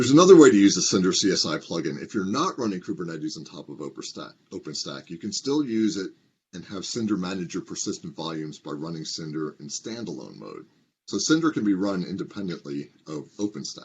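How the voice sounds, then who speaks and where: A man with a very deep, low pitch talks at a very fast pace. His pitch swings very widely and his loudness shifts in big swings. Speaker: open source project lead. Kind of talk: recorded conference talk.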